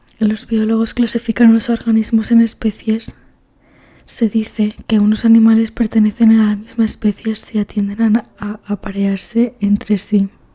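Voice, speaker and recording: Speaking softly at a fairly slow pace, a woman with a fairly high pitch and a dark, mellow tone sounds somewhat breathy, her intonation monotone and flat, recorded dry and close with no echo. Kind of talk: ASMR book reading. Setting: headphones-oriented close-mic recording. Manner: soft-spoken, relaxing.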